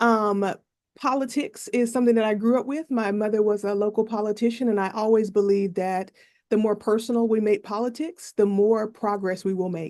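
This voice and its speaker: A woman with an American accent talks at a fairly quick pace and a fairly high pitch, with fairly even intonation and a quiet background. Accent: Southern US accent, toned down. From US South, North Carolina. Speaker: professor giving testimony. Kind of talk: legislative testimony.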